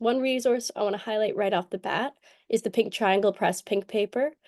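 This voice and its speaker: A woman with a Canadian accent speaks at a fairly quick pace in a fairly high pitch, her tone dark and mellow, the sound dry and close with no echo against a quiet background. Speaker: panel moderator. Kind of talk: livestream panel introduction. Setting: video call. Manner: halting.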